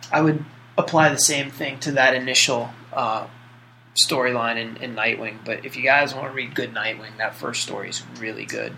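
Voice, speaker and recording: A man with a plain, everyday voice speaks at medium pitch and a moderate pace, his intonation fairly even. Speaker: podcast co-host. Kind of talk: casual podcast chat.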